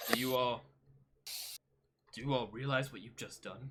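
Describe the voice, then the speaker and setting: The speaker uses a put-on character voice at a low-to-middle pitch and a moderate pace. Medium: actual play. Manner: exuberant, emotional.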